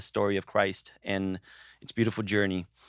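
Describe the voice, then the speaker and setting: Speaking with a Portuguese accent, a man keeps a fairly low pitch and a moderate pace. His sound is dry and close with no echo, on a very clean recording with a silent background. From Brazil. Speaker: podcast co-host. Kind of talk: casual discussion. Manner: halting.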